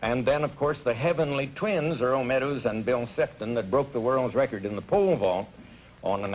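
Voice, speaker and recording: A man talks at a fairly quick pace and a medium pitch. He uses an ordinary speaking voice. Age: 50s. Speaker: college track coach. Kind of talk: game show interview.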